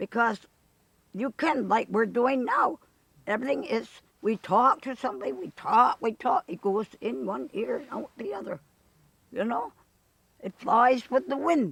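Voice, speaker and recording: Speaking with an American accent, a woman uses lively intonation and vocal fry at a fairly high pitch and a moderate pace, with long, frequent pauses in a dry, close sound with no echo. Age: 80s+. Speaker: Seneca elder and wisdomkeeper. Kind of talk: interview answer. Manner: fiery, spirited.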